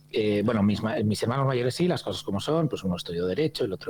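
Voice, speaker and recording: Here a man talks at a medium pitch. His voice moves through very wide pitch swings. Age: 50s. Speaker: hospitality consultant and trainer. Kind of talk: podcast interview. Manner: hesitant, many fillers and repetitions.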